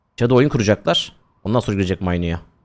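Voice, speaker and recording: Very fast speech from a man with a fairly low pitch and ordinary pitch variation, on a very clean recording with a silent background. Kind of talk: esports match commentary, play-by-play of a CS round. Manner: animated, excitable, rapid-fire, laughing at big plays; uses 'we' for the team, a partisan fan-caster tone.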